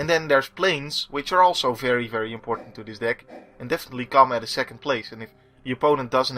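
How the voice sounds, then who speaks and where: Music plays in the background as a man speaks. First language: not English. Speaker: gaming video creator. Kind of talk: gameplay commentary. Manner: hesitant, many fillers.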